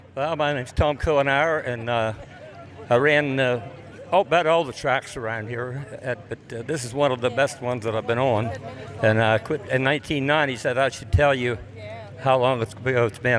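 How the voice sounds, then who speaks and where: Over noticeable background noise, a man speaks at a fairly quick pace in a medium pitch with fairly even intonation. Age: 70s. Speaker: retired race car driver. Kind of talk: interview at event.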